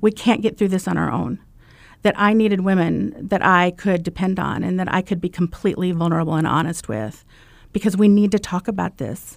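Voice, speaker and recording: In a very clean recording with a silent background, a woman with an American accent uses an unremarkable speaking voice at a medium pitch, moving at a fairly quick pace with ordinary pitch variation. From US Midwest, Iowa. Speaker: wife sharing recovery story. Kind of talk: testimony. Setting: studio.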